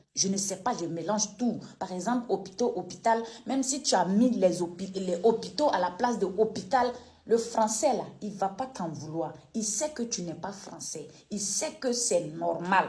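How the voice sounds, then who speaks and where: A woman has a slight Ivorian accent. She speaks at a fairly slow pace. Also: medium pitch for a woman, lively intonation. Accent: slight Koulango-tinged Ivorian French. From Côte d'Ivoire, Koulango people (northeast). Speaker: online political commentator. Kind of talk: video commentary rant. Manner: animated, emphatic.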